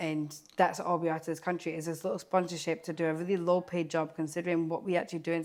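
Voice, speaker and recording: On a very clean recording with a silent background, a woman speaks at a very fast pace with hardly any pauses, in a fairly low pitch and monotone, flat intonation. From Scotland. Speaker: care worker. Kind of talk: interview.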